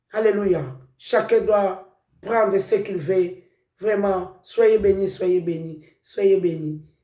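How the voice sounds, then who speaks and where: In a non-native accent, a voice with a dark, mellow tone speaks at a very slow pace with fairly even intonation, with audible room echo. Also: man, high pitch for a man. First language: not French (speaking French). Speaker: preacher. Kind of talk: sermon.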